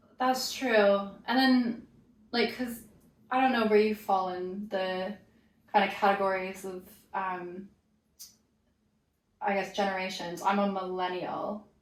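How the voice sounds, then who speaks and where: Speaking at a fairly slow pace, a woman with a medium pitch keeps a fairly even intonation and takes long, frequent pauses, with audible room echo around her. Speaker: yoga teacher. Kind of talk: casual chat.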